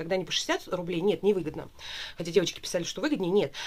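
Speaking at a very fast pace is a woman. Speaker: beauty product reviewer. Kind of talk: casual vlog chat. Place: home room. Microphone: camera far.

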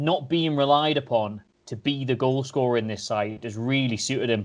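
A man's speech moves at a moderate pace, with ordinary pitch variation. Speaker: remote podcast guest. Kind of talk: podcast commentary. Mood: wry, enthusiastic. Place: home room. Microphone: video call.

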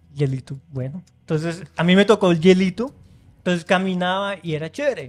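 A man's high-pitched voice with lively intonation at a fairly quick pace. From Colombia, Florencia (Caquetá); Colombia. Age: young. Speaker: engineer and immigrant; podcast guest. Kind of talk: casual interview. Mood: friendly, upbeat storytelling. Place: studio. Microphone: studio mic.

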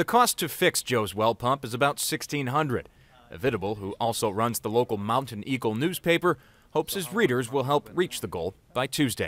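A man with a normal speaking voice at a fairly quick pace, lively intonation and hardly any pauses, on a very clean recording with a silent background. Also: medium pitch for a man, dry, close sound with no echo. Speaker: news reporter. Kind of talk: TV news package narration.

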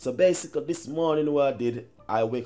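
A man's voice at a moderate pace, with faint music in the background. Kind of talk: cooking tutorial. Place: kitchen. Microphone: camera far.

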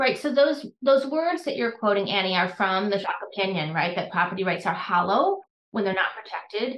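With an American accent, a woman speaks at a fairly quick pace in a medium pitch that makes very wide swings. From US Midwest, Wisconsin. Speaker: law professor. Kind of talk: interview.

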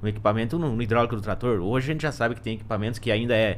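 A man talks over light background noise. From Rio Grande do Sul, Brazil. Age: 30s. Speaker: agronomy consultant; guest. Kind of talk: casual podcast conversation. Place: studio. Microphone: studio mic.

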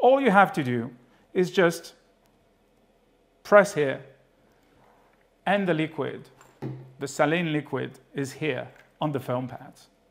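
The speaker is a man. His delivery moves at a moderate speed. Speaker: presenter. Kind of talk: product demonstration. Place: studio.

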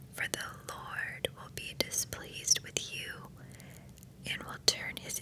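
A woman whispers. Her pace is very slow. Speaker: ASMR creator. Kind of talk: relaxing Bible reading. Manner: soft-spoken, slow. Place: home room. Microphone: studio mic.

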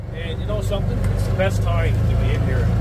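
A man is speaking. Loud background noise runs underneath. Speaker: firewood cutter vlogger. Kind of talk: casual vlog chat. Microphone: phone near.

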